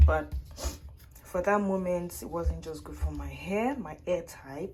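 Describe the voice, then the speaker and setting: With noticeable background noise and audible room echo, the speech moves at a fairly slow pace with big swings in loudness. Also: woman. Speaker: vlogger. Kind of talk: casual vlog.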